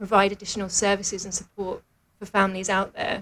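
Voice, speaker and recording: A fairly quick, monotone, flat delivery with a British accent. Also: woman. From London, England. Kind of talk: radio interview.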